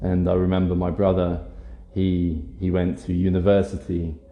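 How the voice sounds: In a British accent, a man speaks at a moderate pace in a low, monotone, flat voice, with audible room echo. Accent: generic British.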